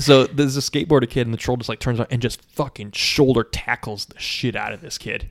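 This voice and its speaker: Very fast speech from a man, hardly any pauses, big swings in loudness. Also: medium pitch for a man, dry, close sound with no echo. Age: 30s. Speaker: comedy podcast host. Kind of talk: casual chat. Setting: home recording in his apartment. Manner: animated.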